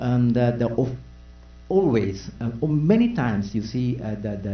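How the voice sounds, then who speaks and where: Fairly slow speech with a Japanese accent, ordinary pitch variation, and audible room echo. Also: man. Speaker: panelist. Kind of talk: press conference answer. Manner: halting, many fillers.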